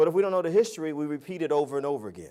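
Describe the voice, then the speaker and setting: The speaker talks fairly quickly with an American accent. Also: man. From New Jersey, US. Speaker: public speaker. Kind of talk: motivational speech. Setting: stage with audience. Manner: animated.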